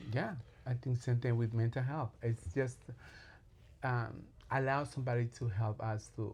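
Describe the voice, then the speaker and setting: Speaking with a strong Latin American accent, a man talks at a moderate pace in a medium pitch, somewhat breathy, with fairly even intonation, very even loudness, and long, frequent pauses. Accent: heavy Latin. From Colombia. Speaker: clinical social worker and therapist. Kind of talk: interview. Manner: halting, many fillers and repeats.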